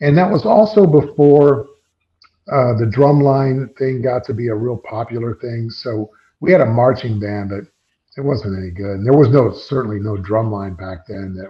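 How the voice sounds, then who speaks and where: At a moderate pace, the somewhat breathy voice shows big swings in loudness and ordinary pitch variation. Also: man, medium pitch for a man. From US Midwest (central Illinois, near Peoria). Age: 60s. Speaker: drummer. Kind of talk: interview. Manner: animated.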